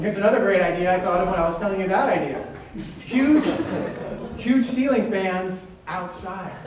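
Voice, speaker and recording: Over noticeable background noise and audible room echo, a man with a high voice talks at a fairly quick pace broken by long, frequent pauses. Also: ordinary pitch variation. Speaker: stand-up comedian. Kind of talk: stand-up comedy. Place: stage.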